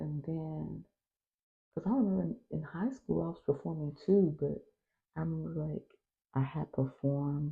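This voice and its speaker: Here a woman speaks with an American accent. Her tone is relaxed and her pace moderate. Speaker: stay-at-home mom vlogger. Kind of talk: casual chat. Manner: relaxed, conversational.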